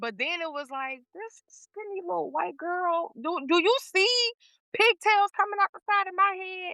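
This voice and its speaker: A woman with an American accent uses a raised, projected voice at an extremely high pitch and a fairly slow pace. Her intonation is lively, her loudness swings widely, and the sound is dry and close with no echo. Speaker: podcast guest, performer. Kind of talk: casual chat.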